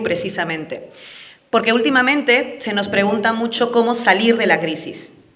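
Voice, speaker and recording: A woman with a fairly high pitch speaks at a moderate pace. Audible room echo and noticeable background noise surround her voice. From Peru (Andean). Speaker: political speaker. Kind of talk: public talk. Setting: event with live audience. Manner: passionate.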